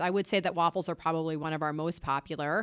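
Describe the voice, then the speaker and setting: Talking very fast with an American accent, a woman uses a fairly low pitch and fairly even intonation in a very clean recording with a silent background. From US, Delaware. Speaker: food entrepreneur. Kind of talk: interview conversation.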